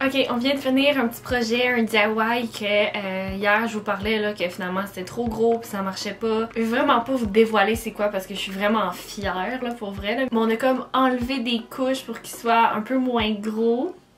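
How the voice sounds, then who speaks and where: A woman with a strong Quebec accent, fairly even intonation and hardly any pauses, over noticeable background noise. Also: fairly high pitch for a woman, moderate pace. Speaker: lifestyle vlogger. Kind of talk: casual vlog talk to camera. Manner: casual, chatty.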